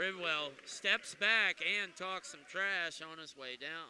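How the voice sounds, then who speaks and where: A man speaks in a high voice. His pace is very slow. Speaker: play-by-play announcer. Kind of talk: live commentary; casual chat.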